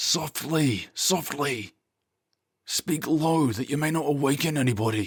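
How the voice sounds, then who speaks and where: A man puts on a raspy character voice and speaks quietly. His pace is fairly slow. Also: fairly high pitch for a man. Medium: read story. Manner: hushed.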